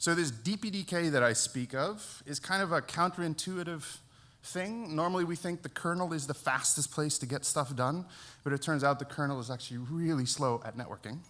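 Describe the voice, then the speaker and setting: A man with an American accent talks fairly quickly in a fairly high voice with a bright, sharp tone. His pitch varies in an ordinary way. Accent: sounds American. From Netherlands. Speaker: network engineer, conference speaker. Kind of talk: conference talk. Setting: stage with audience, live streamed.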